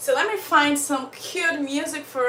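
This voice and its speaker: There is audible room echo and noticeable background noise. A woman talks at a very slow pace in a raised, projected voice. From Uganda. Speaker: storyteller livestream host. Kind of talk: casual live chat. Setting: livestream. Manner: animated.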